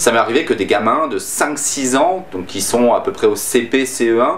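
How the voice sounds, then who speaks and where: Noticeable background noise is present throughout. Over it, a man talks at a middle pitch. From France. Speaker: YouTuber. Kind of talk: casual vlog talk to camera. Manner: hesitant, many fillers.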